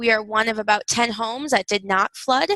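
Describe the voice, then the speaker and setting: Moderate-paced, fairly high woman's voice in a Wisconsin accent, bright and sharp in tone, monotone and flat, with a dry, close sound and no echo. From Wisconsin, US Upper Midwest. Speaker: university instructor. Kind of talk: recorded video lecture. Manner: frequent fillers (um, uh).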